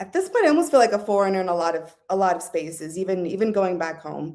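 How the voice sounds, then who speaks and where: A woman talks at a medium pitch with ordinary pitch variation. She has a normal speaking voice. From Southern California. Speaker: guest on a talk show. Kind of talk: casual interview chat.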